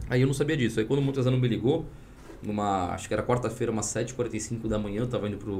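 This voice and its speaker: A man's very fast, somewhat breathy speech at a medium pitch, with fairly even intonation and audible room echo. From Espírito Santo, Brazil. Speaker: tech entrepreneur and former government official. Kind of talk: podcast interview.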